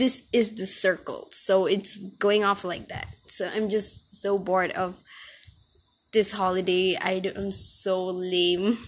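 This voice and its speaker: A woman speaks at a very slow pace. Her pitch sits in the medium range. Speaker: podcast host. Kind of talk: casual solo podcast monologue. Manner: halting, stumbling over words; rambling, filler-heavy, informal.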